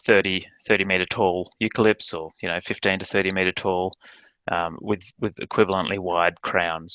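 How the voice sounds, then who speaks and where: Against a quiet background, a man with an Australian accent speaks at a moderate pace in a very deep, low pitch, his tone bright and sharp, his intonation monotone and flat, the sound dry and close with no echo. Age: 40s. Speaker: ecologist and landholder. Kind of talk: presentation. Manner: halting, many fillers.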